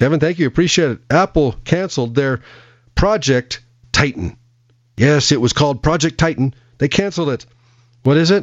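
A man speaks at a fairly high pitch and a moderate pace. His pitch variation is ordinary, and his pauses are long and frequent. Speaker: car radio host. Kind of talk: radio dj patter. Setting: studio. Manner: chatty, rambling, repeats phrases, jokey; warm, folksy, relaxed.

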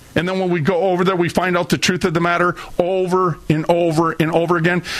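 A man speaks at a high pitch and a very fast pace with an American accent. Noticeable background noise is present. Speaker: radio host. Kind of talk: angry rant. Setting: studio. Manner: loud, fiery, indignant; preachy, sarcastic.

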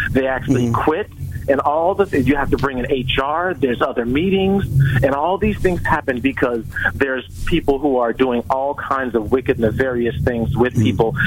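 A man speaks at medium pitch and a fairly quick pace. His pitch varies in an ordinary way amid noticeable background noise. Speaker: leadership author. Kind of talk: radio interview. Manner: emphatic, warm.

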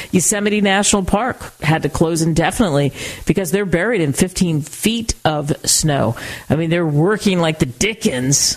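A woman with a fairly low pitch speaks at a moderate pace in an animated tone, her intonation lively and her loudness very even, over noticeable background noise. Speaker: radio talk show host. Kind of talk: talk radio interview.

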